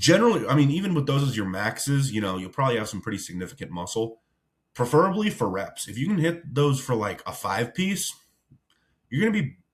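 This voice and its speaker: Very wide pitch swings mark this man's speech. He sounds somewhat breathy and talks at a very fast pace. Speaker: bodybuilding coach. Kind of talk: tutorial. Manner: heavy breathing; casual.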